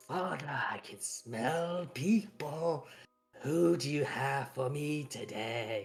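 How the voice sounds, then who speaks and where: Shouting in a raspy, put-on character voice at a low-to-middle pitch, the speaker goes at a very slow pace while faint music plays in the background. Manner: menacing, growling scream.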